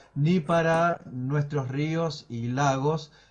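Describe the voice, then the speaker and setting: This man's voice is fairly high-pitched and somewhat breathy, with ordinary pitch variation. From Córdoba, Argentina (Villa Dolores); Córdoba, Argentina. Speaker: meteorologist; guest. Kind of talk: live interview. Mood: calm, explanatory. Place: home room. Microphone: video call.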